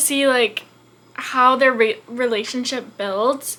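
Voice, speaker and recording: A woman speaks at a moderate pace in a high pitch, with ordinary pitch variation. Noticeable background noise sits behind her. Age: 20s. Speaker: book youtuber. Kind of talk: casual chat. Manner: animated.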